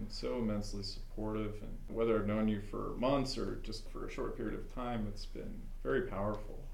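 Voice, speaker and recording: At a fairly quick pace, a man speaks amid audible room echo. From Alaska. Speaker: student graduating from a blindness program. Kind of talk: casual group chat.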